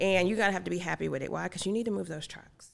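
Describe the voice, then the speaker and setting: With an American accent and a normal speaking voice, a woman speaks at medium pitch with ordinary pitch variation on a very clean recording with a silent background. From US South, rural North Carolina. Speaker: logistics company CEO. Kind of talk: casual interview chat. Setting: studio.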